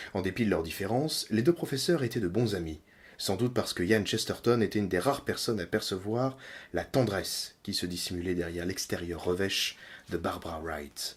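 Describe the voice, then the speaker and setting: A man's fairly low-pitched voice, with lively intonation and a fairly quick pace. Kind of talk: audiobook reading of a novel chapter. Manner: relaxing, ASMR-style.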